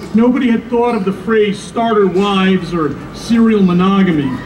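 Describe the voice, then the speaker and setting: A man talks at a moderate pace with ordinary pitch variation. The room has an audible echo and noticeable background noise. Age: 60s. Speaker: radio host speaking at a rally. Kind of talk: rally speech. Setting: outdoor rally. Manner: frequent filler uh's.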